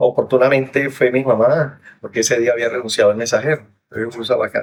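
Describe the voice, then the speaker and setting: Talking at a very fast pace, a man holds a medium pitch in a monotone, flat intonation. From Armero, Tolima, Colombia. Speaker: disaster survivor. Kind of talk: interview testimony.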